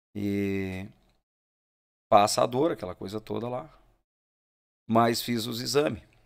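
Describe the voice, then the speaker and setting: Very slow, fairly low male voice with long, frequent pauses, big swings in loudness and ordinary pitch variation, over a quiet background. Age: 40s. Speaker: musician; podcast guest. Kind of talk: casual chat. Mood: relaxed storytelling. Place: studio. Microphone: studio mic.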